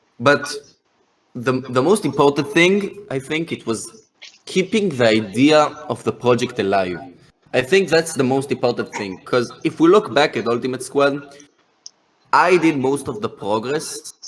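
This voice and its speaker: At a fairly slow pace, a man with an Israeli accent speaks at a fairly high pitch and with lively intonation. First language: Hebrew. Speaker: game project founder. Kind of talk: podcast interview. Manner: halting, many hesitations and repetitions.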